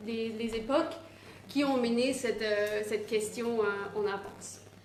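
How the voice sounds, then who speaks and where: A woman with a non-native accent talks very slowly in a fairly high pitch. Her intonation stays fairly even, and room echo is audible. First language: not French (speaking French). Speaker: activist speaker. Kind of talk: presentation. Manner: halting, many hesitations.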